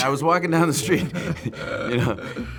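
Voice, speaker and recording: A man with lively intonation, music in the background. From Boston. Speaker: actor. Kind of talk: interview answer.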